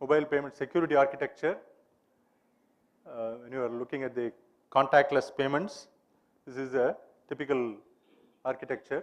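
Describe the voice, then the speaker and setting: The speech moves at a fairly quick pace, broken by long, frequent pauses, with fairly even intonation. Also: man, fairly high pitch for a man, big swings in loudness. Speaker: conference speaker. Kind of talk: conference talk.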